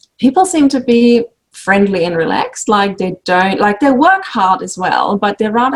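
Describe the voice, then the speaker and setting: A woman with a German accent speaks at a moderate pace, her intonation lively. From Germany. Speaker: sewing instructor and quilt designer. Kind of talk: casual interview chat.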